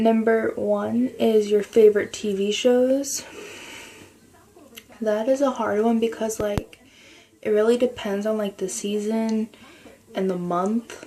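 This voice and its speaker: A quiet woman's voice, fairly high in pitch, at a very slow pace with fairly even intonation, long, frequent pauses and noticeable background noise. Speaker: video blogger. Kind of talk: casual chat. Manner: quiet, speaking lightly.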